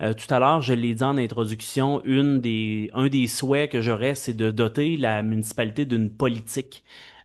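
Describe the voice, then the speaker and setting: Over a quiet background, a man talks in a medium pitch with fairly even intonation. He keeps a moderate pace with hardly any pauses. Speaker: mayor chairing council meeting. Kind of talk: municipal council meeting. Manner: loud. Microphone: too loud when close to mic.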